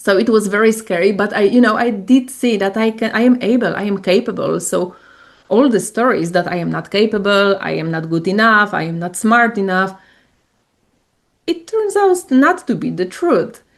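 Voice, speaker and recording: A woman with a Polish accent, at a moderate pace, with ordinary pitch variation. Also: medium pitch for a woman. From Poland. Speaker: coach and spiritual entrepreneur. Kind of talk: interview.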